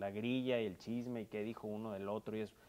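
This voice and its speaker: The speaker is a man. He talks at a moderate pace. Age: 30s. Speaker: politician. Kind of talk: interview. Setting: furniture store.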